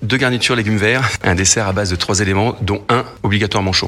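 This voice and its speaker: Noticeable background noise runs behind this recording. A man with a fairly low pitch talks at a fairly quick pace. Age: 50s. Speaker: military chef. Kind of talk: radio interview.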